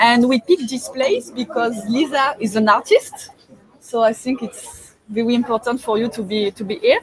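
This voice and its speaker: The speaker has a strong French accent and a moderate pace, with ordinary pitch variation, a dry, close sound with no echo, and noticeable background noise. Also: woman, high pitch for a woman. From France. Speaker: webinar host. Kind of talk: casual interview chat. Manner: hesitant, many fillers.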